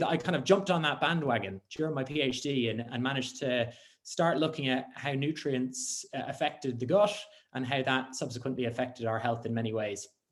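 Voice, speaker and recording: With a Dublin accent, a man speaks at a fairly quick pace in a medium pitch with ordinary pitch variation. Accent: Dublin Irish. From Ireland, Dublin. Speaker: scientist. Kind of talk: conference talk. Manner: hesitant with many fillers.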